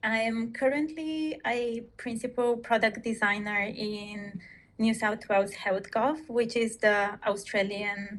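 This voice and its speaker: At a very slow pace, a woman with a Bulgarian accent talks at a fairly high pitch with ordinary pitch variation. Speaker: product designer. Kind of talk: interview.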